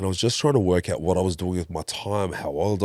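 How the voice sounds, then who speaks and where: Recorded with a dry, close sound and no echo, a man with a very deep, low pitch speaks at a fairly quick pace. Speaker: breathwork facilitator. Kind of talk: interview.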